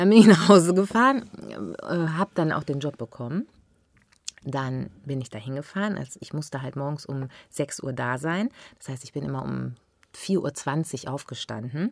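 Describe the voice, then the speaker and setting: A woman's very deep, low voice with vocal fry, lively intonation, big swings in loudness and long, frequent pauses. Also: moderate pace. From Ruhr area, Germany (Unna near Dortmund), then Westerwald from age 15. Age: 40s. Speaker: actress and TV shopping presenter. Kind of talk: casual chat.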